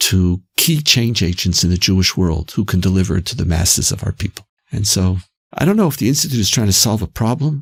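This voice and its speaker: Somewhat breathy and fairly low, a man's voice moves with lively intonation in a dry, close sound with no echo. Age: 60s. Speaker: institute president. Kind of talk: podcast interview. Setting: studio.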